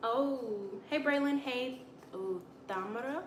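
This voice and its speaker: With a strong Alabama accent and lively intonation, a woman speaks amid noticeable background noise and audible room echo. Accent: heavy Alabama Southern. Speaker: livestreamer. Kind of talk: casual chat.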